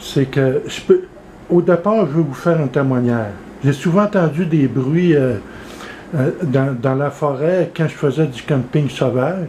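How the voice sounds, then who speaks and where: A man's fairly high voice with ordinary pitch variation, a fairly slow pace and noticeable background noise. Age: 60s. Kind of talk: casual talk to camera.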